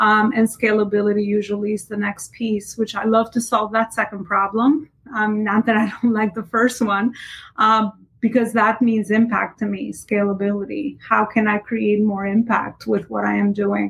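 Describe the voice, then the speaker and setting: A woman's fairly high, somewhat breathy voice in a monotone, flat intonation at a moderate pace. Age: 30s. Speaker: entrepreneur and business coach. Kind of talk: casual interview.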